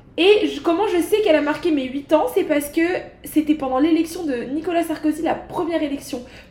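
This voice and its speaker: Here a woman speaks with a high pitch. Her pace is fairly quick. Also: ordinary pitch variation. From Paris, France (19th arrondissement). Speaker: podcast host. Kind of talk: casual chat. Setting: home recording.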